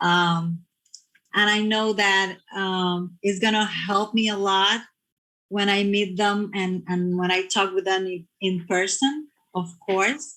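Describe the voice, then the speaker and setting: Very slow speech from a woman at medium pitch with a Spanish accent, bright and sharp in tone, with fairly even intonation. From Puerto Rico. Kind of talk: casual chat.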